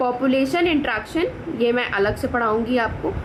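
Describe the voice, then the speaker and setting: With noticeable background noise and audible room echo, a woman speaks in a high voice at a moderate pace. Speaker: biology teacher. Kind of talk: lecture. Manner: code-switching Hindi and English.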